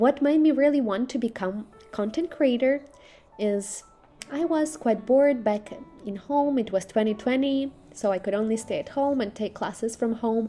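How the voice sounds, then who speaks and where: Music plays in the background as a woman speaks with a Russian accent. Her pitch is high, with ordinary variation, at a moderate pace. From Belarus. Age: 20s. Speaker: social media influencer and cultural ambassador. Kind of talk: interview.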